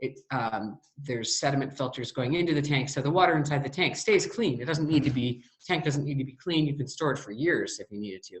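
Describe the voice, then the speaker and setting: A somewhat breathy woman's voice, very deep and low in pitch, with ordinary pitch variation at a fairly quick pace. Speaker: water systems designer and presenter. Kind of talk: presentation with audience Q&A. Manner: hesitant, many fillers.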